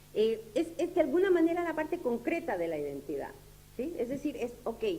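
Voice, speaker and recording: A woman speaks at a high pitch with very wide pitch swings and a dark, mellow tone. Her moderate pace carries audible room echo. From Uruguay. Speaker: lecturer. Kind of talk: lecture. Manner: halting, many fillers.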